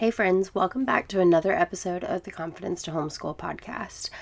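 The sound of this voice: A woman uses a put-on character voice that is raspy, at a medium pitch with ordinary pitch variation and a fairly quick pace.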